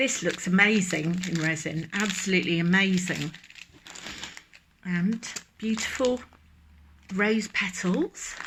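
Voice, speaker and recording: Heard over noticeable background noise, a woman with a Dorset accent speaks at a very slow pace and medium pitch, with ordinary pitch variation and long, frequent pauses. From England, Dorset. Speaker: resin craft youtuber. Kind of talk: unboxing video. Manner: animated.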